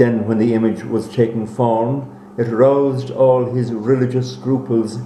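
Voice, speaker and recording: Amid noticeable background noise, a man with an Irish accent speaks at a moderate pace and medium pitch, his intonation fairly even. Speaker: actor. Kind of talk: read story.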